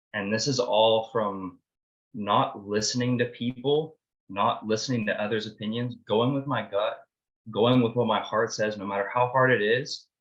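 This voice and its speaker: Speaking with a normal speaking voice, a man keeps to a medium pitch, fairly even intonation and a moderate speed. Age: 20s. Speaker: participant sharing story, business owner. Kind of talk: group video call discussion.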